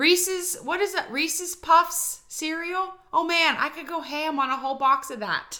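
Speaking with an American accent, a woman uses a raised, projected voice at extremely high pitch, with a bright, sharp tone. Her loudness swings widely, her pitch varies in an ordinary way, and she leaves hardly any pauses. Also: moderate pace. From western Pennsylvania. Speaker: podcast co-host. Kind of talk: casual chat.

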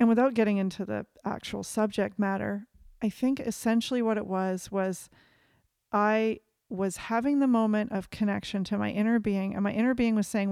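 A woman with an ordinary speaking voice talks at a moderate pace, her medium pitch carried in fairly even intonation. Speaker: podcast co-host. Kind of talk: casual chat. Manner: rambling, reflective.

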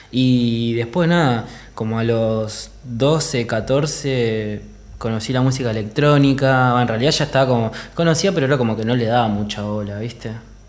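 Amid audible room echo, a man speaks at a moderate pace in a medium-pitched voice with ordinary pitch variation. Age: 30s. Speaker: DJ. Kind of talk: casual chat.

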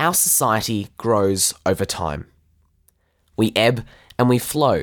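On a very clean recording with a silent background, a man with an Australian accent speaks in a medium pitch with lively intonation. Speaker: podcast host. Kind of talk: scripted narration.

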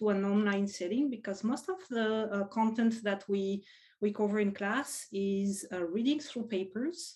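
A woman with a French accent has a dark, mellow tone and a fairly high pitch against a quiet background. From France. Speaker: professor. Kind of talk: casual interview.

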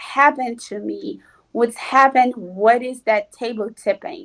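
A woman with a Portuguese accent talks at a fairly slow pace in a high pitch. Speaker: physical medium. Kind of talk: casual interview.

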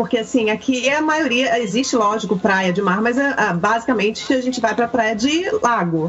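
A woman speaks at a moderate pace with fairly high pitch, lively intonation and very even loudness. Noticeable background noise runs under her voice. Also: hardly any pauses. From Rio de Janeiro, Brazil. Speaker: Brazilian content creator living in Canada. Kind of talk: casual chat.

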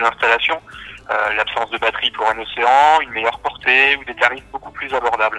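The delivery is fairly quick with fairly even intonation, in a dry, close sound with no echo but noticeable background noise. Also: man. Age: 30s. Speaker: engineer and home automation company founder. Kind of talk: interview.

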